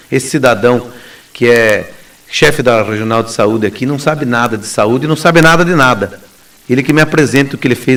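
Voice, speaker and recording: Using an ordinary speaking voice, a man talks at a fairly quick pace in a medium pitch with ordinary pitch variation. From southern Brazil, Paraná southwest. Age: 40s. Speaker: lawyer and gubernatorial candidate. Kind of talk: radio interview.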